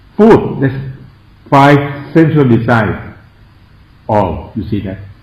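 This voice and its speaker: In a strong Thai accent, the speaker goes at a very slow pace with very wide pitch swings, and audible room echo surrounds the voice. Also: man, fairly high pitch for a man. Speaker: Buddhist monk and meditation teacher. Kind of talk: meditation lecture. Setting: meditation centre. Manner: halting.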